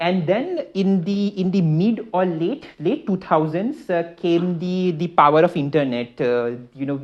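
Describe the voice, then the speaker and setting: A man with an Indian accent speaks in a high voice, with hardly any pauses. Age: 20s. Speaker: startup founder. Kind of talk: talk to an audience. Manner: halting, many fillers and repeats.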